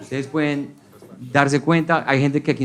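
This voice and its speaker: A man speaks at a medium pitch. There is noticeable background noise. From Colombia. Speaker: stand-up comedian. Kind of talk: stand-up comedy set.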